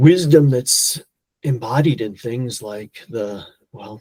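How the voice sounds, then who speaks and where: A somewhat breathy man at a very slow pace. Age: 60s. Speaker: polyglot and language educator. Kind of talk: podcast interview. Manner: halting, many repeated words.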